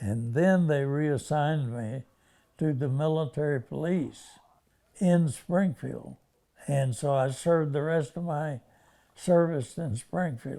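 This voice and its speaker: In an American accent, a man talks at a very slow pace with long, frequent pauses. His tone is dark and mellow. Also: fairly high pitch for a man, ordinary pitch variation. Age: 80s+. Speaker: war veteran. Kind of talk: interview answer.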